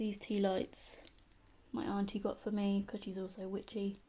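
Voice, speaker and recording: A woman with a British accent speaks in a dark, mellow tone that is somewhat breathy, her intonation fairly even. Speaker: pagan witch content creator. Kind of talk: casual talk to camera. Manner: slow, monotone.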